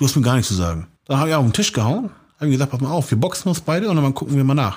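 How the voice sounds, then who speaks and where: A man with a slight Hamburg accent, somewhat breathy, with very wide pitch swings, on a very clean recording with a silent background. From Hamburg, St. Pauli. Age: 40s. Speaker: street art painter. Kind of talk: interview. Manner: casual, many fillers.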